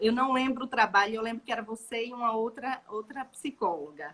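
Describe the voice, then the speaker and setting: Against noticeable background noise, a woman with a northeastern Brazilian accent speaks at a moderate pace. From Brazil, Maceió (Alagoas, Northeast). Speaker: gestalt therapist. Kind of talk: casual chat.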